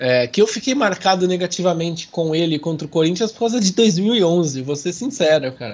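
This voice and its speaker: Lively intonation carries this moderate-paced speech, which has hardly any pauses. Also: man, high pitch for a man. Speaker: football podcast host. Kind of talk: casual chat. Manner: animated.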